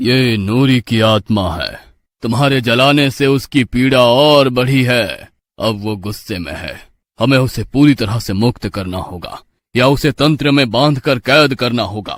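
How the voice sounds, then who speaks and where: In a put-on character voice with a solemn tone, a man speaks fairly slowly at a medium pitch, recorded very cleanly against a silent background. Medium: read story. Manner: solemn, grave.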